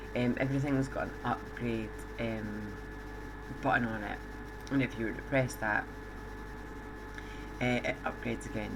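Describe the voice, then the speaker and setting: A soft-spoken voice comes through with noticeable background noise around it. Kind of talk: game tutorial commentary.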